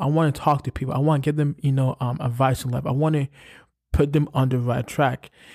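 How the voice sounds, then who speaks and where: Recorded very cleanly against a silent background, a man with a New York accent speaks at a very fast pace and fairly high pitch, with fairly even intonation and a dry, close sound with no echo. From New York, Brooklyn. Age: 20s. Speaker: podcast host. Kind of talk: motivational monologue. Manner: casual, filler-heavy.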